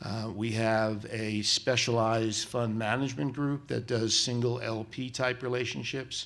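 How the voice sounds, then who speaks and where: An ordinary speaking voice from a man with an American accent, medium in pitch, fairly slow and fairly even in intonation, with hardly any pauses. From New York, South Bronx. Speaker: venture capitalist. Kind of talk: panel discussion.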